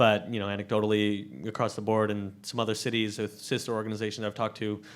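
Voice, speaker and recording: At a very fast pace, a man speaks in a fairly low, monotone, flat voice on a very clean recording with a silent background. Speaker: panelist at community forum. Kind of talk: panel discussion. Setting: public forum with audience. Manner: loud.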